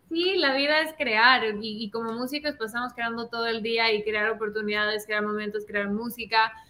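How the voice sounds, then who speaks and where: A woman talks in an ordinary speaking voice. Her pitch sits fairly high and varies in an ordinary way. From Ecuador. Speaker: singer. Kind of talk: casual interview.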